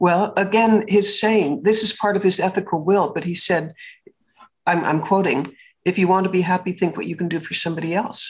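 Somewhat breathy, this woman's voice is heard. She talks at a medium pitch. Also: fairly quick pace. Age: 80s+. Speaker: businesswoman and public speaker. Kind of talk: interview. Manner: animated.

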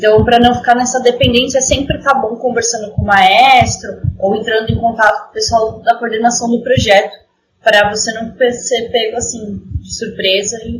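Speaking at a moderate pace, a woman keeps a fairly high pitch with monotone, flat intonation. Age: 20s. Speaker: orchestra violinist. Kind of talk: casual interview.

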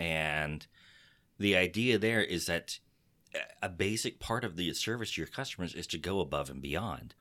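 On a very clean recording with a silent background, a man with an American accent speaks in a bright, sharp, animated tone. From Texas. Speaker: podcast host. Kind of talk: casual podcast chat. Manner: animated, joking.

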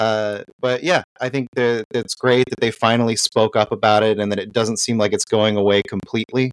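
This man has an unremarkable speaking voice at medium pitch and a moderate pace. The sound is dry and close, with no echo. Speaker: guest panelist. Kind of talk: casual chat.

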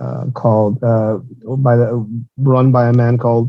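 At a medium pitch, a man speaks in a monotone, flat intonation. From Mexico, Tijuana. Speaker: former police officer and security consultant. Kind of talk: interview.

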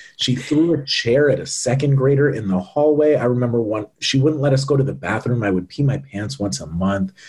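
At a fairly quick pace with hardly any pauses, a somewhat breathy man with an American accent speaks at a medium pitch with ordinary pitch variation. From US Northeast, central Massachusetts. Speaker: ed-tech founder and CEO. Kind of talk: interview conversation.

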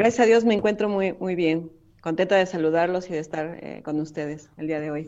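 A woman speaks with a Mexican accent. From Mexico. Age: 40s. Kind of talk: interview testimony.

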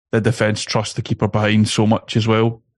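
Very fast speech in a dry, close sound with no echo. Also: man. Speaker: football podcaster. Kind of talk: casual chat.

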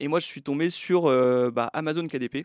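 Recorded very clean with a silent background, the sound is dry and close with no echo. A man speaks at a moderate pace with fairly even intonation. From France, Brittany and Troyes. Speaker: book publisher. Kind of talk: podcast interview. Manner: halting.

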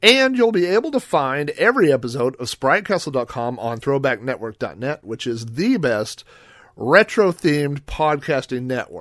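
In a very clean recording with a silent background, a man with an American accent uses a plain, everyday voice, fairly high in pitch, at a moderate pace with lively intonation. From Oklahoma, US. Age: 40s. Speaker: podcast host. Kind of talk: solo monologue podcast intro. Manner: casual, conversational with filler words.

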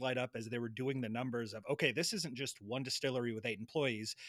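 A man speaks at a fairly quick pace in a plain, everyday voice. His pitch sits at a medium level. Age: 30s. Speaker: podcast host. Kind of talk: casual chat.

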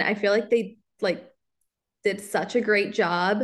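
A normal speaking voice from a woman with an American accent, fairly high in pitch, at a fairly slow pace with fairly even intonation. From US Midwest, Kansas City area. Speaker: local content creator. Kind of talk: casual interview chat.

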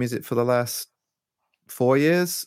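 A man with an East Midlands accent speaks fairly slowly at a medium pitch. The sound is dry and close, with no echo. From England, Leicester. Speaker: electronic musician. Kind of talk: casual chat.

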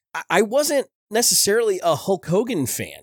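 A man speaks in an animated tone with very wide pitch swings. The sound is dry and close with no echo, on a very clean recording with a silent background. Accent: American. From US, New Jersey (Belleville). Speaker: podcast host. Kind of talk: casual podcast monologue on pop culture history.

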